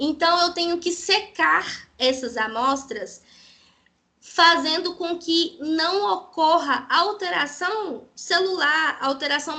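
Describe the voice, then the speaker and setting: A woman speaks in a raised, projected voice with a bright, sharp tone. Her pace is very slow and her intonation lively. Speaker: parasitology researcher and lecturer. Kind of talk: lecture.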